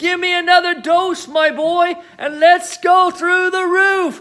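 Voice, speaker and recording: This is a put-on character voice delivered at a fairly slow pace. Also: man, extremely high pitch for a man. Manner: shouting, excited.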